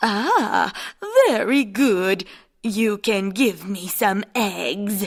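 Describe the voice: Using a cartoonish character voice at a medium pitch, a woman talks at a very slow pace.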